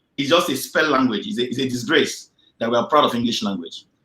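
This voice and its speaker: A man's very fast speech in a bright, sharp tone, with very wide pitch swings and a Nigerian accent. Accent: Nigerian Igbo English. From Nigeria, Igbo area (Nsukka). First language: Igbo (Nsukka dialect). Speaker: engineer. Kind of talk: interview.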